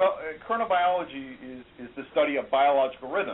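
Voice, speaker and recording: This is a man with an ordinary speaking voice. He keeps a moderate pace and lively intonation. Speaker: biomedical professor and researcher. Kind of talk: interview.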